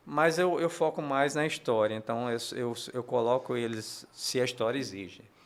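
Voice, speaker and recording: Hardly any pauses in a man's moderately paced speech, medium in pitch and ordinary in pitch variation. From Paraíba, northeastern Brazil. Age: 60s. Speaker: comic book artist. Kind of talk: interview. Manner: halting, many repetitions and fillers.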